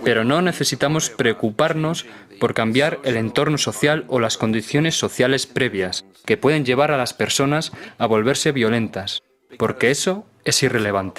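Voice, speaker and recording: Over music in the background, a man with a medium pitch speaks with lively intonation at very even loudness. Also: moderate pace. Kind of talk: documentary dub.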